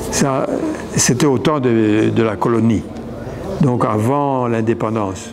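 A man's ordinary pitch variation comes through against noticeable background noise. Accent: Burundian. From Burundi. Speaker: mixed-race community member. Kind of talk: testimony. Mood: reflective, somewhat sad. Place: hall. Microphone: lapel.

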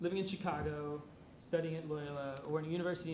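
A man speaks with a fairly high pitch. There is light background noise and audible room echo. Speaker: university student; speaker. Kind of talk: short prepared remarks. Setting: lecture hall with audience. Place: hall. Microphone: podium.

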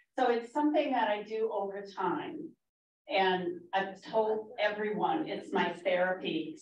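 A woman's plain, everyday voice with an American accent, medium in pitch, with lively intonation and a fairly slow pace. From Minnesota. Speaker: master gardener. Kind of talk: public talk.

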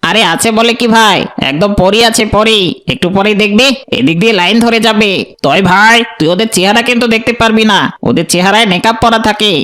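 A man's cartoonish character voice, raised and projected, high-pitched, with very even loudness. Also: moderate pace. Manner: folksy, excitable.

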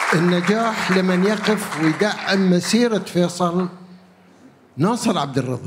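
A man speaks at a very slow pace in a Gulf accent, his pitch high for a man. Crowd noise carries in the background. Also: ordinary pitch variation. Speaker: theatre veteran. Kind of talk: panel remarks. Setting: stage with audience. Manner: jovial.

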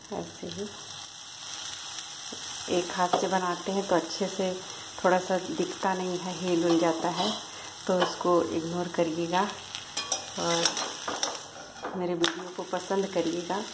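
Noticeable background noise fills the recording. The talking is very slow, broken by long, frequent pauses. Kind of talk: casual cooking tutorial. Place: kitchen. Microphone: phone near.

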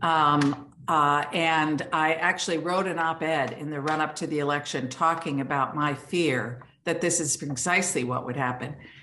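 A woman's very deep, low voice with a bright, sharp tone, ordinary pitch variation and a moderate pace. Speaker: remote conference speaker. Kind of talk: conference talk. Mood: serious, earnest. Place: home room. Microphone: video call.

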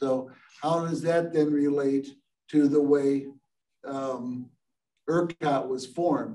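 Speaking at a very slow pace with long, frequent pauses, a man uses a fairly high pitch, a dark, mellow tone and fairly even intonation. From US Midwest. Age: 70s. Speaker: engineer and company founder; guest. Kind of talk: lecture. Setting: video call. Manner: halting, many filler words. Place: meeting room. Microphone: camera far.

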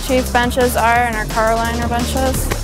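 A woman with an American accent at a moderate pace, dry sound with no echo, and clear music in the background. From northern New York. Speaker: collision repair student. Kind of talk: guided tour to camera. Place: workshop.

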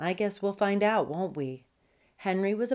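Ordinary pitch variation shapes this reading aloud in a natural voice.

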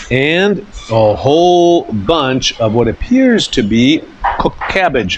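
A man is heard over noticeable background noise. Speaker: food vlogger. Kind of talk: casual vlog chat. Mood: cheerful, enthusiastic. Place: cafe. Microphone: lapel.

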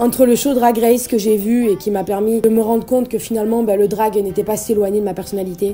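The woman's voice sits fairly high. Music is playing behind her. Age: 20s. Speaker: vlogger. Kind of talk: spoken word year-in-review monologue. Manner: upbeat, emotional. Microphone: phone near.

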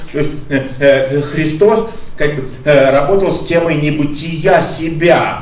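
Room echo is audible. A man speaks at a very slow pace. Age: old. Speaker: lecturer. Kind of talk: lecture. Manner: halting. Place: hall.

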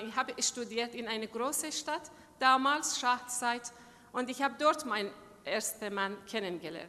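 A woman speaks at a moderate pace with a Persian accent. Her high-pitched voice has a bright, sharp tone and ordinary pitch variation. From Iran. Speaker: human rights activist. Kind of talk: speech. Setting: stage with audience. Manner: halting. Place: hall. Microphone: podium.

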